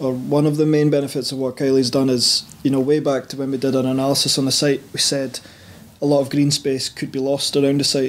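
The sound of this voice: Speaking at a fairly quick pace, a man holds a medium pitch with little pitch movement.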